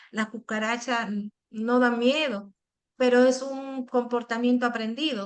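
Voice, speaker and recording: With fairly high pitch and fairly even intonation, a woman talks in a plain, everyday voice. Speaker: psychologist. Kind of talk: educational Q&A session.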